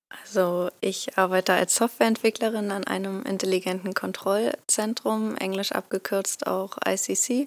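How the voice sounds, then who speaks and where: A woman with an unremarkable speaking voice talks at a fairly slow pace with hardly any pauses, medium pitch and ordinary pitch variation, the sound dry and close with no echo. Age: 20s. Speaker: software developer. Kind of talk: podcast interview.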